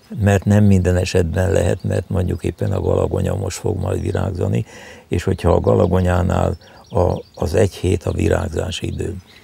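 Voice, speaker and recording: A man's very deep, low voice comes through with noticeable background noise. He talks at a moderate pace with fairly even intonation. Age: 80s+. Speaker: herbalist. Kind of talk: interview. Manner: halting.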